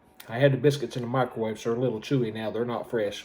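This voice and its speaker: Someone with an American accent speaks with fairly even intonation. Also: man. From US South (Georgia). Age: 60s. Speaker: homestead YouTuber. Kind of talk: casual vlog, taste test. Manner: casual, rambling with fillers.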